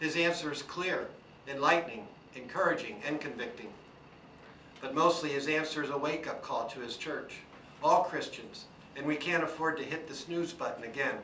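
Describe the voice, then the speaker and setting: Fairly high male voice at a moderate pace, with ordinary pitch variation, long, frequent pauses, audible room echo and noticeable background noise. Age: 60s. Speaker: small business owner. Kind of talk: prepared speech to camera. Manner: earnest.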